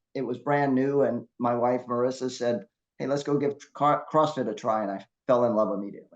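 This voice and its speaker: With medium pitch and ordinary pitch variation, a man speaks at a fairly quick pace in an ordinary speaking voice. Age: 60s. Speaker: masters CrossFit athlete and competition judge. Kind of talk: casual interview chat.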